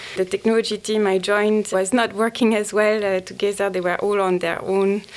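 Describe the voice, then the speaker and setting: In a strong French accent, the voice moves at a fairly quick pace with very even loudness and monotone, flat intonation. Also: woman, medium pitch for a woman. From France. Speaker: banking data executive. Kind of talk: interview.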